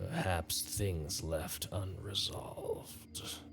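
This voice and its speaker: A man's put-on character voice, very deep and low in pitch, at a very slow pace over clear background noise. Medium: actual play. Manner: slow, bewildered.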